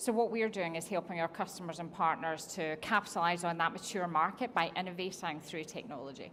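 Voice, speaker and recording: Spoken with a Scottish accent at a fairly quick pace, the delivery has ordinary pitch variation and hardly any pauses. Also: woman, fairly low pitch for a woman. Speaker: technology executive. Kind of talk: on-stage interview. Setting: conference stage with audience.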